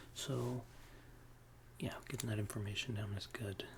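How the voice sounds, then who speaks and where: The soft-spoken voice moves at a moderate pace against noticeable background noise. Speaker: ASMR roleplay therapist. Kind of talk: ASMR therapist roleplay, soft spoken.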